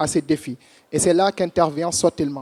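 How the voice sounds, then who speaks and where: Very fast and high-pitched, a man with a strong Senegalese accent keeps his intonation fairly even in a dry, close sound with no echo, on a very clean recording with a silent background. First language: French or Wolof. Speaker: startup founder. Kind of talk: competition pitch.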